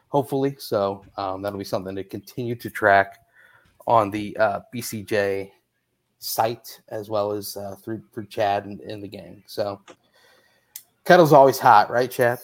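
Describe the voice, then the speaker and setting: An ordinary speaking voice with an American accent moves at a fairly slow pace. The intonation stays fairly even while the loudness swings a lot. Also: man, fairly low pitch for a man. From Indianapolis, US Midwest. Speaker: sports podcast host. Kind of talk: casual chat.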